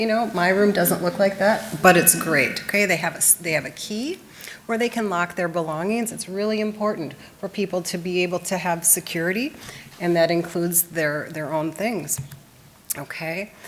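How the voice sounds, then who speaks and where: A woman's fairly low voice with ordinary pitch variation over noticeable background noise. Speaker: presenter on supportive living. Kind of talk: presentation. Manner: fast; conversational.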